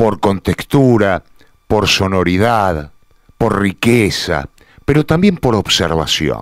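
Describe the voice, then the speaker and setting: A man's fairly low voice at a very slow pace, with lively intonation and very even loudness, in a dry, close sound without echo. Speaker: radio host. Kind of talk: radio editorial commentary.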